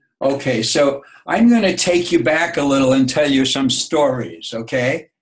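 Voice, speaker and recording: Speaking at a moderate pace with a New York accent, a man with a fairly high pitch uses lively intonation, very even loudness and a somewhat breathy sound. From New York City (Bronx). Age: 70s. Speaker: grandfather interviewed by granddaughter. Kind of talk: oral history interview. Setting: video call. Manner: halting, with repeated words.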